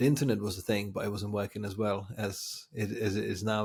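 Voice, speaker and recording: A man with a Czech accent and vocal fry at a fairly quick pace, on a very clean recording with a silent background. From Czech Republic. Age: 40s. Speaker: designer and agency founder. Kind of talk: podcast interview. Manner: repetitive false starts, filler-heavy.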